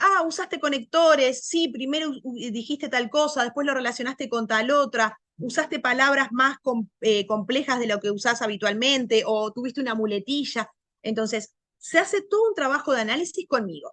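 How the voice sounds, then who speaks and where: This is a woman's voice, high-pitched for a woman. Her tone is bright and sharp. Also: lively intonation. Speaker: language teacher. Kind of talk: lecture. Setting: video call. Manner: loud; fast.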